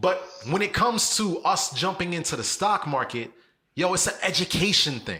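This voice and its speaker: The speaker uses a raised, projected voice with a bright, sharp tone at a moderate pace. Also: man. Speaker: podcast co-host. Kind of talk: casual chat. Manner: animated.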